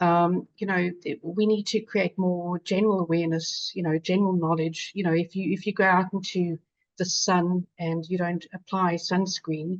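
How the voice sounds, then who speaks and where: A woman with a South African accent speaks fairly low and monotone at a moderate pace with hardly any pauses, in dry, close sound with no echo. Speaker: patient advocate, infection survivor. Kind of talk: webinar panel discussion.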